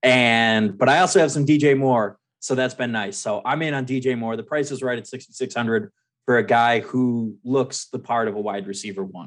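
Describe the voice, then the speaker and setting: A man speaks at a medium pitch with a normal speaking voice, ordinary pitch variation and a fairly quick pace against a quiet background. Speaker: fantasy football editor. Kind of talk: casual chat. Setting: phone call.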